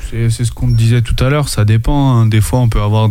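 A man talks at a moderate pace. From France, Anjou. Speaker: rapper. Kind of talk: casual chat.

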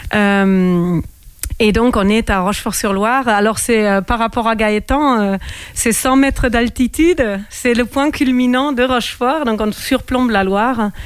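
Her loudness very even, a woman with a fairly high pitch speaks at a fairly slow pace with ordinary pitch variation. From Germany. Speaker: winegrower. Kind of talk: radio interview. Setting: radio studio, wearing a mask. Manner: halting.

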